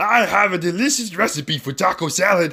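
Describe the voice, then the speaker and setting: A man's put-on character voice, high-pitched and fairly quick. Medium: read story.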